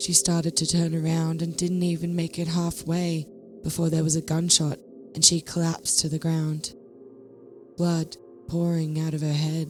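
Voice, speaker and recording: Music plays in the background as a woman talks at a moderate pace. Her intonation stays monotone and flat. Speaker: horror story narrator. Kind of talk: horror story reading.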